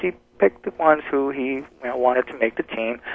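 In an American accent, an unremarkable speaking voice moves at a moderate pace. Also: man. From New Jersey, US. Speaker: personal development coach. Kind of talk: radio interview.

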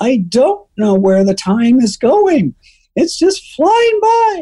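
Putting on a character voice, a man talks at a very slow pace in an extremely high pitch, with very wide pitch swings. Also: very even loudness. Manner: lamenting.

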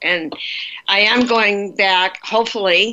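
Her tone bright and sharp, a woman speaks with fairly even intonation. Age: 70s. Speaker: retiring nonprofit staff member. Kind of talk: casual interview chat. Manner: halting.

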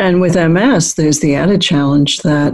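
A woman with a fairly low pitch talks at a moderate pace in an unremarkable speaking voice, with ordinary pitch variation. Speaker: radio host and psychologist. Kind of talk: radio show interview. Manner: polished, warm and measured, professional radio-host delivery.

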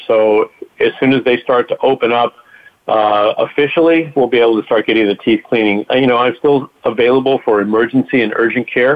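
A man with an unremarkable speaking voice talks at a moderate pace with a medium pitch and fairly even intonation. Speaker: doctor/dentist giving health update. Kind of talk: radio update.

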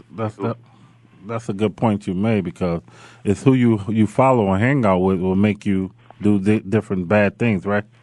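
In a plain, everyday voice, a man speaks at a moderate pace with fairly low pitch and fairly even intonation. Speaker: radio host, former football player. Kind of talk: casual chat.

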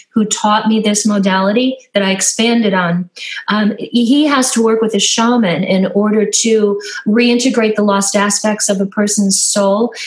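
A woman talks at a moderate pace with a fairly high pitch. Her intonation stays fairly even over noticeable background noise. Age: 60s. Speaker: spiritual energy healer. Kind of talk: interview.

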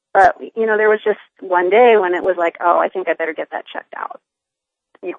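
Here is a woman with a plain, everyday voice. Her medium pitch shows ordinary pitch variation, and her pace is fairly quick. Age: 50s. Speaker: nurse practitioner and cancer patient. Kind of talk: casual interview.

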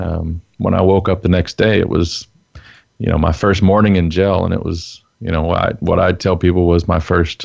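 A man with a Texan accent and a very deep, low voice speaks at a moderate pace in a flat monotone. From Texas. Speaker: former prisoner, enneagram teacher. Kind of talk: interview testimony.

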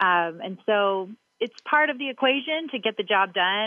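A woman with a Southern accent. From Kentucky, Louisville. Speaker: restaurant marketing executive. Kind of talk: interview.

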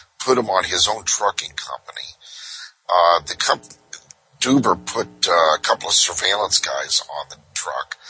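Whispering at a moderate pace with a slight Brooklyn accent, a man comes through in a dry, close sound with no echo. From Southern California. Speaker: private investigator. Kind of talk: casual interview storytelling. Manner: conversational, anecdotal.

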